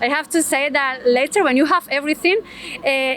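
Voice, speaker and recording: A woman with a Spanish accent. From Spain. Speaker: interviewee, foreign resident. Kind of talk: street interview. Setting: outdoors on a Tokyo street. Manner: halting, many fillers.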